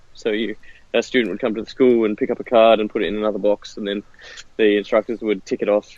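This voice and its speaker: Very fast and flat, a man with a fairly low voice speaks in a monotone with a strong Australian accent. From Western Australia. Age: 30s. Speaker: martial arts software founder. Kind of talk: interview. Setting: phone call, outdoors.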